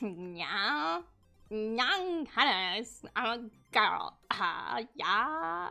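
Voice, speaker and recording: Faint music plays behind a woman doing a nasal put-on character voice. She speaks at a very slow pace and a fairly high pitch. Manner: mocking.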